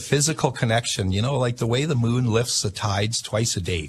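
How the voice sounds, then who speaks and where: Somewhat breathy, a man at medium pitch talks at a fairly quick pace with ordinary pitch variation. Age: 60s. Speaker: inventor and self-taught astrologer. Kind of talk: radio interview. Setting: radio studio. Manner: halting, many fillers.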